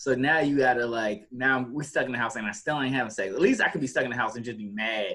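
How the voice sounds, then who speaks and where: Loud and very fast with hardly any pauses, a man delivers his words in a bright, sharp tone. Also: medium pitch for a man, ordinary pitch variation. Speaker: podcast co-host. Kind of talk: casual chat. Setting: video call.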